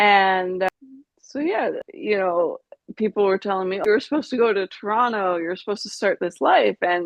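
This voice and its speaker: This woman has an unremarkable speaking voice at a medium pitch, with a Canadian accent. She talks at a moderate pace. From Canada, British Columbia (Vancouver Island). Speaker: brain injury survivor. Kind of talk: interview testimony.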